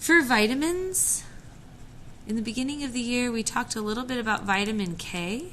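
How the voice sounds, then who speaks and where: Audible room echo surrounds the voice. The speaker moves at a fairly quick pace with lively intonation. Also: woman, high pitch for a woman. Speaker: science teacher. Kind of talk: recorded classroom lesson. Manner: casual, conversational.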